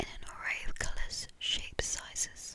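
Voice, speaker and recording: Someone whispers at a very slow pace in a gentle, calm tone, with noticeable background noise behind. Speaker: ASMR creator who reads poems. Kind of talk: whispered ASMR poetry reading. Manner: soft, gentle, calm.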